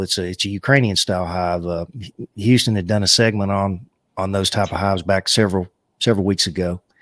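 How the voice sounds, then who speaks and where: A man with a Southern US accent is heard in a dry, close sound with no echo. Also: very clean recording, silent background. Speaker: livestream co-host of a beekeeping chat show. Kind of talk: casual live chat. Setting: live stream from a home studio. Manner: halting, many filler uh's.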